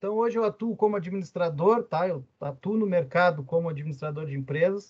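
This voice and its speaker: With a Rio Grande do Sul accent, a man speaks at a fairly quick pace. His pitch is high. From southern Brazil, Rio Grande (RS). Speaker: university lecturer and business administrator. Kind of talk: lecture. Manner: casual, with many fillers.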